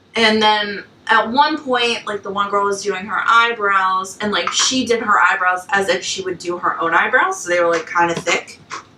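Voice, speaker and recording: A woman speaks at a medium pitch in an animated tone with ordinary pitch variation and hardly any pauses, over noticeable background noise. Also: moderate pace. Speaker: podcast co-host. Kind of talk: casual chat. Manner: loud.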